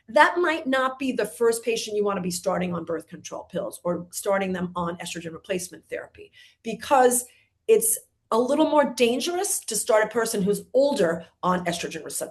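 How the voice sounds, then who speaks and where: Fairly high and somewhat breathy, a woman talks at a fairly quick pace with very wide pitch swings. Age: 60s. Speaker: gynecologist. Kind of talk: webinar Q&A.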